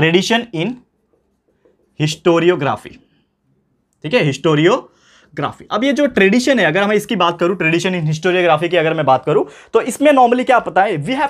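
Over a quiet background, a man speaks with lively intonation. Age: 20s. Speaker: tutor. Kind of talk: lecture. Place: classroom.

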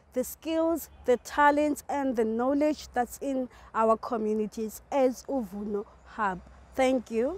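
Speaking at a fairly slow pace, a woman uses a high pitch with ordinary pitch variation in a dry sound with no echo. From South Africa. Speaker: community media fellow. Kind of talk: video presentation. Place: open country.

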